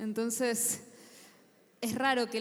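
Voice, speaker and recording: A woman speaks with monotone, flat intonation. Noticeable background noise runs underneath. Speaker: writer and panelist. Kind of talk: panel talk.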